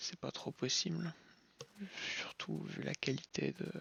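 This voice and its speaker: A man with a calm tone at a very slow pace. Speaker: gaming youtuber. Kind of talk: gameplay commentary. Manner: slow, calm; hesitant, many fillers.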